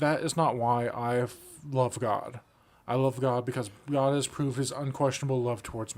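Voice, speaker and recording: A man's medium-pitched voice with monotone, flat intonation. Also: moderate pace. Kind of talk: casual discussion. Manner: stutters when tired.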